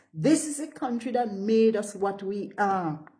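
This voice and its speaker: At a fairly slow pace, a voice makes very wide pitch swings amid audible room echo and noticeable background noise. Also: woman. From St. Vincent and the Grenadines. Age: 60s. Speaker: political party spokesperson. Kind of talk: political address. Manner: animated.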